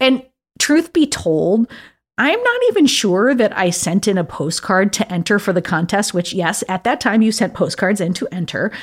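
Using a normal speaking voice, a woman with an American accent talks at medium pitch and a moderate pace. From upstate New York. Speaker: podcast host. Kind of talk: scripted narration; casual chat.

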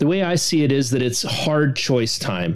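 Noticeable background noise sits behind a man with a Canadian accent, who talks at a moderate pace and medium pitch with ordinary pitch variation. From Western Canada. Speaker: political commentator. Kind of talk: rant. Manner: animated.

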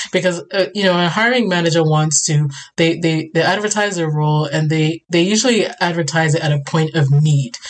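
A woman speaks fairly quickly at a fairly low pitch, with hardly any pauses, very even loudness and ordinary pitch variation. Noticeable background noise is present. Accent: American. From Ghana (Accra). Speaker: immigrant guest sharing newcomer experience. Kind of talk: casual chat.

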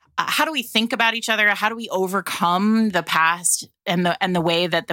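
Woman's bright, sharp voice at medium pitch with ordinary pitch variation, in a very clean recording with a silent background. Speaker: podcast host discussing romance novels. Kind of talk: casual chat. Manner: animated.

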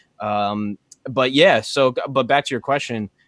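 A man with a bright, sharp tone and medium pitch speaks with ordinary pitch variation, recorded very cleanly against a silent background in a dry, close sound with no echo. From small farming town. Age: 20s. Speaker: rapper and podcaster. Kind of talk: casual interview chat. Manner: fast, halting with many fillers.

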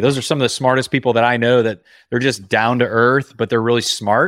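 A man with an American accent talks at a very fast pace and medium pitch, keeping his loudness very even. The recording is very clean, with a silent background. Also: dry, close sound with no echo. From Indiana. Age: 30s. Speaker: entrepreneur and business coach. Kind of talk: interview. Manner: casual, conversational.

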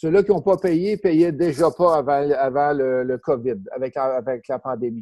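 A man with a Quebec accent, fairly high pitch and a dark, mellow tone at a fairly slow pace, in a dry, close sound with no echo. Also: ordinary pitch variation. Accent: Québécois French. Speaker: real estate investor and trainer. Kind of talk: interview. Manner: casual, repetitive.

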